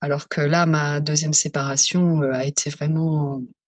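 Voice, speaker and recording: Somewhat breathy speech with a dry, close sound and no echo. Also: woman. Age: 40s. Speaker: psycho-emotional therapist. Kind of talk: testimony.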